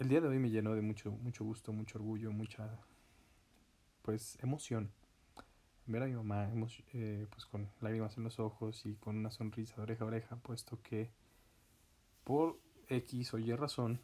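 Somewhat breathy and dark, mellow in tone, a man's medium-pitched voice moves at a moderate pace with fairly even intonation and long, frequent pauses. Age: 20s. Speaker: podcaster. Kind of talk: personal monologue.

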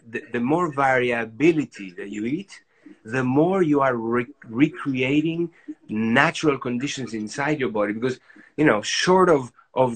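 This man speaks with a Spanish accent at a medium pitch, with ordinary pitch variation. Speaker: doctor, author. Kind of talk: interview, casual chat.

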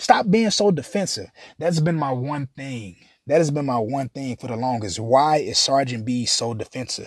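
With an ordinary speaking voice, a man talks at a moderate pace. His pitch is fairly high and his intonation lively. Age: 30s. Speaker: podcast host. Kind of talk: casual monologue.

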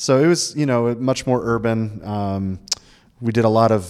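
A plain, everyday voice from a man with an American accent, ordinary pitch variation, a fairly slow pace, and a very clean recording with a silent background. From Florida. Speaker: pastor. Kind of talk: casual chat.

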